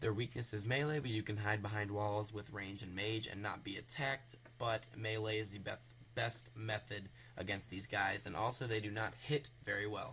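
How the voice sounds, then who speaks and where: Bright and sharp in tone, a man speaks at a fairly low pitch and a moderate pace. His intonation stays fairly even. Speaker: gaming video creator. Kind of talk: tutorial. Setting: home recording, late at night. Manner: quiet, speaking softly; hesitant, many fillers.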